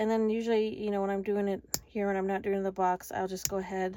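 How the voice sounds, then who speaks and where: A woman's very fast, medium-pitched speech, flat and monotone in intonation, with very even loudness. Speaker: craft tutorial maker. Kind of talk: tutorial. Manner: casual.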